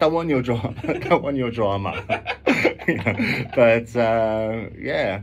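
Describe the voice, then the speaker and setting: A man with a North London accent at a medium pitch, very slow pace and ordinary pitch variation, with audible room echo and noticeable background noise. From London, Finsbury Park. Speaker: musician. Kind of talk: radio interview. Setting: radio studio. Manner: halting.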